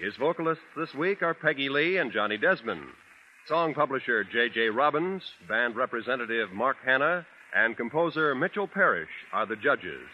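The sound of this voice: A man talks at a moderate pace and medium pitch. His pitch swings are big.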